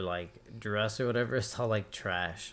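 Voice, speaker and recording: A man speaks at a fairly low pitch with fairly even intonation. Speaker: podcast co-host. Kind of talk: casual chat.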